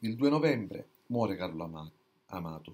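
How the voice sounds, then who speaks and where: This man's tone is dark and mellow. He talks at a moderate pace. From Sicily, Catania. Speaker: book reviewer. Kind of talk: book review monologue. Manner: halting, many fillers and restarts. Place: home room. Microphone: webcam.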